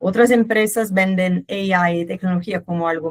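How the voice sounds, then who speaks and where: A woman with a Brazilian accent at a fairly slow pace, ordinary pitch variation, dry, close sound with no echo. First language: Portuguese (speaking Spanish). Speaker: company manager. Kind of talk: webinar presentation. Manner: hesitant, with filler sounds.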